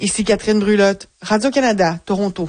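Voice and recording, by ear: Speaking at a fairly quick pace, a woman uses a medium pitch with ordinary pitch variation and a slightly mellow tone.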